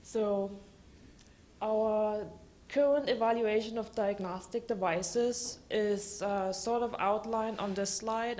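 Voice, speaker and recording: A woman speaks at a medium pitch in a German accent. There is audible room echo. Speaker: government regulatory scientist. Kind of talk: conference talk.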